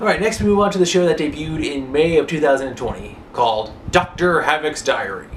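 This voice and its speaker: Noticeable noise sits behind the voice. The delivery goes at a moderate speed. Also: man. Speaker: online show reviewer. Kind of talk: casual TV show review to camera. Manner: casual, hesitant.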